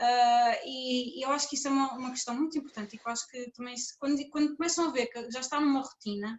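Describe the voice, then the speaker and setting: Fairly even intonation carries speech that goes by at a very fast pace. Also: woman. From Portugal. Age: 20s. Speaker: conference speaker, PhD student. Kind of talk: conference talk as a couple.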